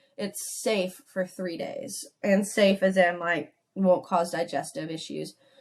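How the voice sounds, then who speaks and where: A woman's medium-pitched voice at a very slow pace, with hardly any pauses and ordinary pitch variation. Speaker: nutrition coach. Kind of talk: online course lecture. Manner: casual, conversational.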